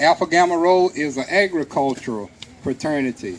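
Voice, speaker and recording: Keeping to a moderate speed, a man talks with normal rises and falls in pitch. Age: 60s. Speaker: historical reenactor. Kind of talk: Q&A talk to audience. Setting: museum event with audience. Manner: halting.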